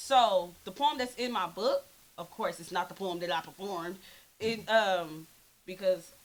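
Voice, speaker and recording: A woman speaks in an unremarkable speaking voice with an American accent, at a medium pitch and moderate pace. Her loudness swings widely. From Oklahoma. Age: 20s. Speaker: spoken word poet. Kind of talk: casual chat.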